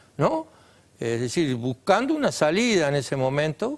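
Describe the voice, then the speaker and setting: His pitch is fairly high for a man and swings very widely. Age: 70s. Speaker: former guerrilla, political activist. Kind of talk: TV interview. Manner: halting.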